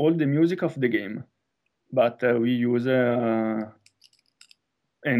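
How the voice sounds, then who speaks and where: The speaker has a dark, mellow tone and talks with an Italian accent. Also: man. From northern Italy. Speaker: film director. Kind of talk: interview. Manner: halting, many hesitations.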